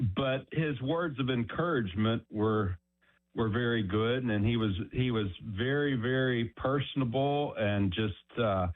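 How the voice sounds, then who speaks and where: In a normal speaking voice, a man with an American accent speaks fairly slowly at medium pitch, with ordinary pitch variation and very even loudness. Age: 60s. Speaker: caller. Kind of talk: phone-in anecdote.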